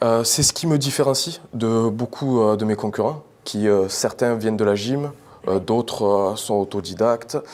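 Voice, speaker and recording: Speaking fairly slowly, a man uses an ordinary speaking voice. His pitch sits in the medium range with ordinary variation. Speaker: pole dance champion. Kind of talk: TV interview answer.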